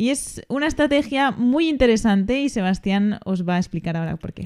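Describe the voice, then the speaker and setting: With a Spanish accent, a woman speaks at a fairly high pitch with lively intonation. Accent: Peninsular Spanish. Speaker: finance podcast host. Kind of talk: casual chat.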